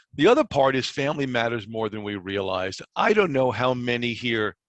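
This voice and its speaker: A man speaks at a moderate pace with fairly even intonation. His pitch sits in the medium range. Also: dry, close sound with no echo. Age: 60s. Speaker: recruiter and conference presenter. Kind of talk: conference presentation. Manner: halting, many fillers and repetitions.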